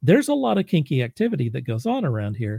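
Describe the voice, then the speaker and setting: A man with an American accent speaks at medium pitch, his tone dark and mellow and somewhat breathy. The sound is dry and close with no echo, a very clean recording over a silent background. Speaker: podcast host. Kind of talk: interview.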